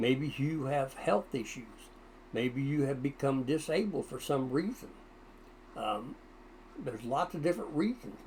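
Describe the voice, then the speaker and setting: A fairly slow, somewhat breathy delivery with long, frequent pauses. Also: man, fairly high pitch for a man, ordinary pitch variation. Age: 70s. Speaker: YouTuber giving life advice. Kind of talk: casual vlog monologue. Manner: conversational with hesitations.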